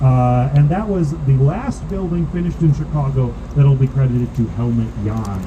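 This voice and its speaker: A man with a medium pitch talks at a fairly quick pace with ordinary pitch variation. Room echo is audible, and background noise is noticeable. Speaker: architecture boat tour guide. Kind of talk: guided tour commentary. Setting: outdoors on a boat. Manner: fast.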